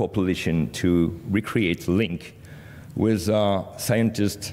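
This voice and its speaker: A man speaks in a French accent with a very deep, low pitch. His intonation stays fairly even. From France. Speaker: media cooperation director. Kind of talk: conference presentation. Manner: halting, many fillers.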